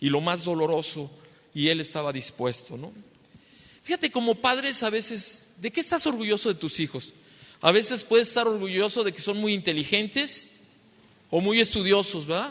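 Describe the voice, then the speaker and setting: A man speaks at a moderate pace in a high, bright and sharp voice, his pitch swinging very widely. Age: 60s. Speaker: pastor. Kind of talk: sermon. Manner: repetitive filler questions.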